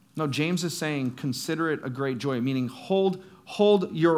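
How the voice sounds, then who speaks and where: With audible room echo, a man talks at a moderate pace and a fairly high pitch, with ordinary pitch variation. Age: 30s. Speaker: youth pastor. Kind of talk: sermon.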